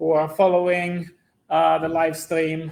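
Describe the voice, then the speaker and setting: The man's voice sits high in pitch for a man. His intonation stays monotone and flat. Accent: slight Italian. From Italy. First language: Italian. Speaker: physics professor. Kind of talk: public lecture.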